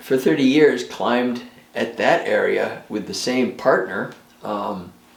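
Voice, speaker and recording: A man with an American accent speaks at a fairly slow pace. The recording has audible room echo and noticeable background noise. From New York State. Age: 70s. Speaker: retired clock restorer and rock climber. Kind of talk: documentary interview. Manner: halting, many fillers.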